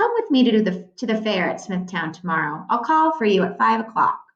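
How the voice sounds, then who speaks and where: A woman's put-on character voice, growling, medium in pitch, at a fairly quick pace. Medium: read story.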